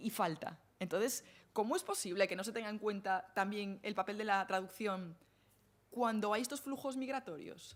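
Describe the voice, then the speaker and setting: A woman with a Galician accent, at a moderate pace. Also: medium pitch for a woman, ordinary pitch variation. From Galicia, northern Lugo. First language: Galician (speaking Spanish). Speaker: academic speaker on translation and feminism. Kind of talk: Q&A after lecture. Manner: hesitant, many fillers.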